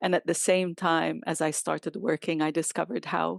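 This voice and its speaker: A woman with an Arabic accent speaks at a moderate pace in a fairly low, monotone, flat voice. The sound is dry and close with no echo, over a quiet background. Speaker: chief interpreter. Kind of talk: interview.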